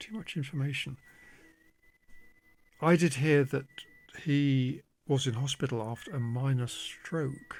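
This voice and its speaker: Quiet and somewhat breathy, a man with a fairly high pitch speaks fairly slowly with ordinary pitch variation. He leaves long, frequent pauses. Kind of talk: casual monologue to camera. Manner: slow, halting.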